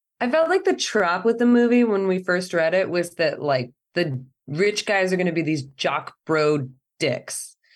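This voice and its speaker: A woman's lively intonation at very even loudness, with music in the background. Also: medium pitch for a woman, fairly slow pace. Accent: American. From California, Central Valley (near Fresno). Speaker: cellist and film director. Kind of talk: interview.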